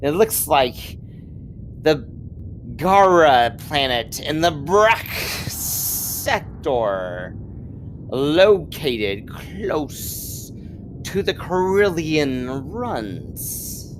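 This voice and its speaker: A man's put-on character voice, fairly high in pitch and very slow, with clear background noise. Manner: weird, hissing.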